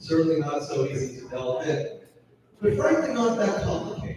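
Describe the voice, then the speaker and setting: A loud, high-pitched man's voice amid audible room echo and noticeable background noise. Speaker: lecturer. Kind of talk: lecture. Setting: hall with audience, PA system.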